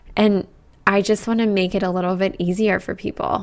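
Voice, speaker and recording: In an American accent, a woman talks at a moderate pace in a medium pitch, monotone and flat. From Colorado, US. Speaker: podcast host, yoga teacher. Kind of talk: solo podcast monologue.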